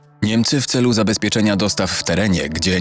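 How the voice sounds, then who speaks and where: A fairly low-pitched man talking at a very fast pace over background music. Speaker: voice-over narrator. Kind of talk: documentary narration.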